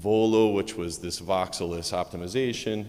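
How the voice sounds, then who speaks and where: An American accent from a man. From United States. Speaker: medical physicist, conference speaker. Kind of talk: conference talk. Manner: fast.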